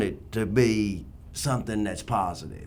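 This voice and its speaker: Heard with audible room echo, a man at a medium pitch talks at a fairly slow pace with fairly even intonation. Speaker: radio sports host. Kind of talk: radio talk show discussion. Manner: loud.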